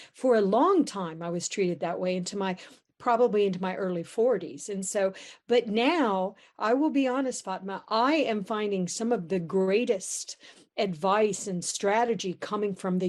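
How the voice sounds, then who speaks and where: A woman of medium pitch talks at a moderate pace with ordinary pitch variation in an unremarkable speaking voice, over a quiet background. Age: 60s. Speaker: panel moderator. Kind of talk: panel discussion.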